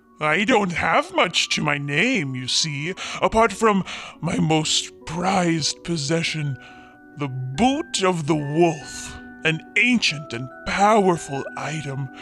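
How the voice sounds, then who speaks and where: With clear music in the background, a man puts on a character voice at a fairly high pitch and a fairly slow pace. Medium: audio drama. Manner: polite, apologetic.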